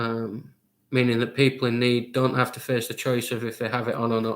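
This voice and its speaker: A man with a northern English accent speaks in a monotone, flat way at a moderate pace. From Lancashire, northern England. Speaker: quizmaster. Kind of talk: online charity quiz hosting.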